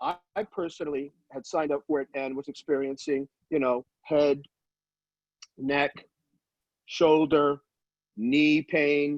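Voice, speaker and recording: With a fairly high pitch and fairly even intonation, a man talks very slowly. He leaves long, frequent pauses, and the sound is dry and close with no echo. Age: 60s. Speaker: former NFL player. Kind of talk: testimony. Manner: halting.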